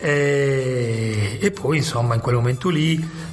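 A man talks at medium pitch with ordinary pitch variation while noticeable background noise plays behind him. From Sardinia, Alghero. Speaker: comic book writer. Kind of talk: interview.

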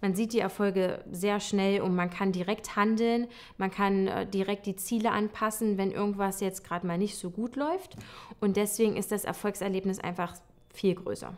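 Her intonation monotone and flat, a woman talks at a moderate pace. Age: 20s. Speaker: occupational therapist. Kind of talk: testimonial interview. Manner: hesitant with many fillers. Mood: warm, relaxed, positive. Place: home room.

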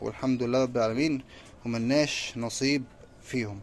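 The speaker has an Egyptian accent, with light background noise behind. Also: man. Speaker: pigeon-keeping vlogger. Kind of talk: casual vlog talk to camera. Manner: animated. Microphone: phone near.

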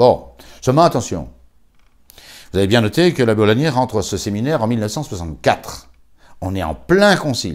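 A man talks at a fairly slow pace with vocal fry and very wide pitch swings. He leaves long, frequent pauses. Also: quiet background. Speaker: priest. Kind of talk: memorial talk. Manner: halting. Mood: calm, commemorative. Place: home room.

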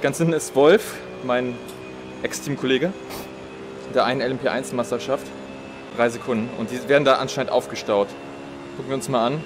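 The speech is broken by long, frequent pauses. Music plays clearly in the background. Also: man, moderate pace. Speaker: sim racing streamer. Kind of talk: live gameplay commentary. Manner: sparse, few words while concentrating.

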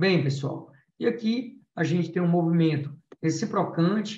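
The man has a high-pitched voice. His pitch varies in an ordinary way. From Brazil, Alagoas. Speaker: endodontist lecturer. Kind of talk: lecture. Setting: video call.

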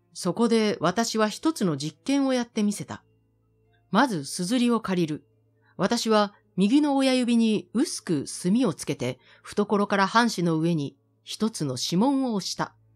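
A woman's fairly high voice with very wide pitch swings, at a fairly slow pace, over music in the background. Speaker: announcer. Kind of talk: literary reading.

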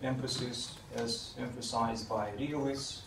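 Flat, monotone intonation comes through over noticeable background noise. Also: man. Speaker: guest, professor. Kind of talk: lecture. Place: meeting room.

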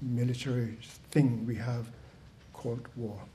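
Somewhat breathy and dark, mellow in tone, a man speaks in a flat monotone at a moderate pace over light background noise. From Greenland. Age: 70s. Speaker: speaker. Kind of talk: talk to audience. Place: hall. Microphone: podium.

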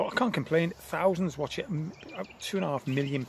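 A man speaks with vocal fry and ordinary pitch variation over faint background noise.

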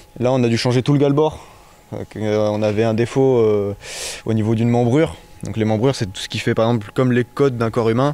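A man's medium-pitched voice, an ordinary speaking voice, at a fairly quick pace with fairly even intonation and a dry sound with no echo. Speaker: apprentice boat carpenter. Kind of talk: interview. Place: workshop. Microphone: handheld.

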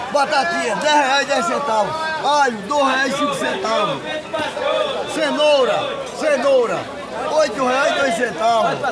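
A man speaks at a fairly slow pace with long, frequent pauses and ordinary pitch variation. Crowd noise carries in the background. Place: market. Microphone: phone near.

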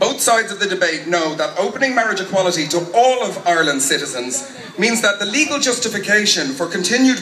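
A man's raised, projected voice with lively intonation, audible room echo and light background noise. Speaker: speaker. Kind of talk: political rally speech. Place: street. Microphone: pa.

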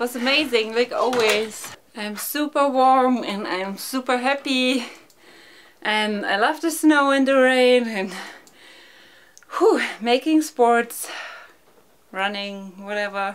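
Speaking at a very slow pace with long, frequent pauses, a woman uses a high pitch and ordinary pitch variation. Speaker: vlogger. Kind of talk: casual vlog chat. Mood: cheerful, upbeat. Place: home room.

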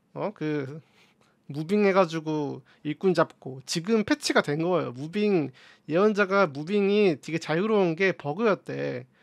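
A man at high pitch with ordinary pitch variation, fairly slow pace and a quiet background. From South Korea. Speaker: gaming streamer. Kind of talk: casual gaming commentary. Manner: animated. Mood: relaxed, smiling.

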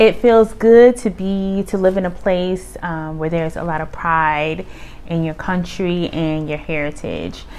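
At a fairly slow pace, a woman talks in a fairly low pitch with ordinary pitch variation. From United States. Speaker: vlogger, Air Force retiree. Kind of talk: casual vlog monologue.

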